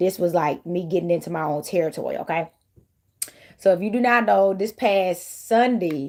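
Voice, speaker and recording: Fairly low-pitched female voice with a dark, mellow tone and an American accent, on a very clean recording with a silent background. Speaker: tarot reader. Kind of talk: casual tarot reading vlog. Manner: animated.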